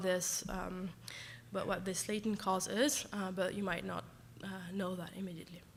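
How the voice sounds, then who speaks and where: In a French accent, a woman talks at a moderate pace, with audible room echo. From France. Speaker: professor. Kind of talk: lecture. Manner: halting, many fillers.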